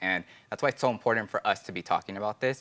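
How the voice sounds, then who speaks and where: A man with an American accent talks at a very fast pace, his pitch fairly low. His tone is bright and sharp, and his intonation stays fairly even. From US, Los Angeles; California. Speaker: financial aid outreach staff and podcast co-host; podcast co-host. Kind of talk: casual informational chat; conversational podcast talk. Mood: friendly, earnest. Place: studio. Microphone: lapel.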